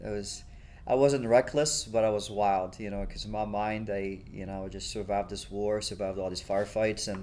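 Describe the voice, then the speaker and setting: With audible room echo around him, a man talks at a moderate pace in a fairly low pitch and fairly even intonation. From Egypt. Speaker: war veteran. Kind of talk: oral history interview. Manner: casual, many fillers.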